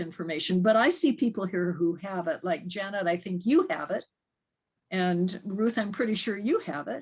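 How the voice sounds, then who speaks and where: With lively intonation, a woman talks at a moderate pace. Her medium-pitched voice is somewhat breathy. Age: 70s. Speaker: ministry group leader. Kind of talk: group video call discussion. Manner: halting, repeats words.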